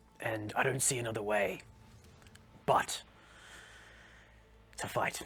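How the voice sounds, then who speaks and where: A man puts on a raspy character voice at a medium pitch. He goes at a fairly slow pace with long, frequent pauses. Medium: actual play. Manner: formal, steady.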